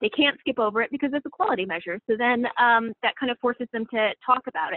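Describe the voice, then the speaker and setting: A woman with a high pitch at a very fast pace, with ordinary pitch variation. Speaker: health educator. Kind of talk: webinar presentation.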